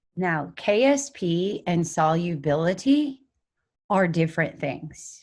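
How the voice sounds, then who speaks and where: In a quiet setting, a woman's fairly low voice comes through somewhat breathy. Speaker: chemistry teacher. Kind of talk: lecture. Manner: slow.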